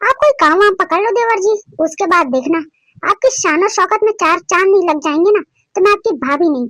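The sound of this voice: Using a cartoonish character voice, a woman speaks at an extremely high pitch and a fairly quick pace, with lively intonation and very even loudness.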